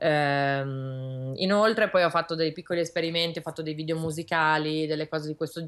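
A woman's very deep, low voice at a fairly quick pace, with fairly even intonation over a quiet background. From Milan, northern Italy. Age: young. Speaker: illustrator; guest. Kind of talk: interview. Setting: video call from her studio. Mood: calm, thoughtful. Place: home room. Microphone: video call.

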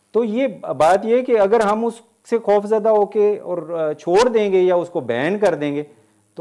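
A man speaks at a fairly slow pace in a high pitch. The background is quiet. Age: 50s. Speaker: college English professor giving a talk. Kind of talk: lecture with audience Q&A. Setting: hall with live audience. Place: hall.

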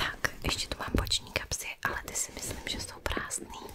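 Through loud background noise, a woman speaks in a soft-spoken way at a moderate pace. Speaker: content creator. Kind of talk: soft-spoken show-and-tell (ASMR style). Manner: soft, hushed close-mic ASMR talk. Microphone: studio mic.

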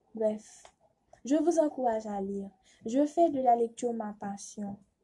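Somewhat breathy, a woman speaks at a fairly high pitch and a very slow pace. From Haiti. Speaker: student contestant. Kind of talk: prepared speech for a reading contest. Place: home room. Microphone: phone near.

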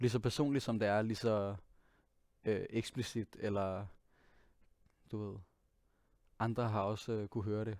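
A man at a moderate pace, fairly even intonation, a quiet background and a dry sound with no echo. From Denmark, Copenhagen. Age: 20s. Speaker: singer and pianist; guest. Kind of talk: interview monologue. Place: studio. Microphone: headset.

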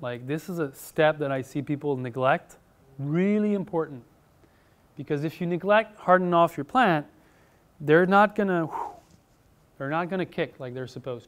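The speech moves at a moderate pace with long, frequent pauses, ordinary pitch variation, and big swings in loudness. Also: man. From Quebec. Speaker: farmer and author. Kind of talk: conference talk. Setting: conference room with audience. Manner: halting. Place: hall.

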